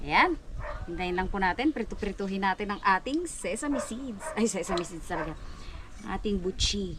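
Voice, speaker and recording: Noticeable background noise behind a woman's medium-pitched voice, lively in intonation, at a moderate pace. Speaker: vlogger. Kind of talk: cooking tutorial. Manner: casual, chatty; soft voice.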